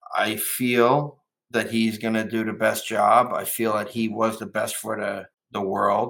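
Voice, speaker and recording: A man with a New Jersey accent speaks at a fairly slow pace. His medium pitch is monotone and flat. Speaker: businessman. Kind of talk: interview. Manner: halting.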